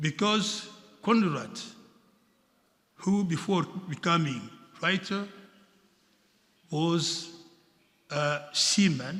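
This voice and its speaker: At a very slow pace, a man with a high pitch speaks with long, frequent pauses. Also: ordinary pitch variation. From Democratic Republic of the Congo. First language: French. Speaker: diplomat speaking at a seminar. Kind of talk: formal speech at seminar. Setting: museum seminar with audience. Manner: halting, with hesitations.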